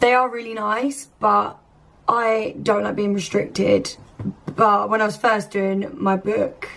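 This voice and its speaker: In a British accent, a woman with a fairly high pitch speaks at a very slow pace with ordinary pitch variation. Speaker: lifestyle vlogger. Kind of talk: casual vlog talk. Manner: chatty.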